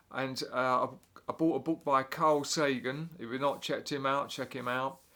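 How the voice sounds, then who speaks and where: With an English accent and a bright, sharp tone, a man talks at a moderate pace on a very clean recording with a silent background. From England. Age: 60s. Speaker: drummer and music teacher. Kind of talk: casual explainer monologue. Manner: halting, many fillers.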